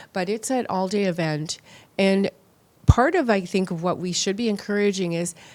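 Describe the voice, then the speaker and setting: A normal speaking voice, delivered in a Canadian accent. The pace is moderate and the pitch variation ordinary. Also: woman. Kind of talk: interview.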